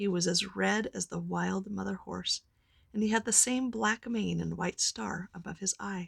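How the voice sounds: A natural reading voice is what this recording holds.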